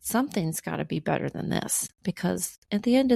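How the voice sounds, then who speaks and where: A woman speaks in a calm tone, her voice dark and mellow. The sound is dry and close with no echo, on a very clean recording with a silent background. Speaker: keynote speaker and artist. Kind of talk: interview.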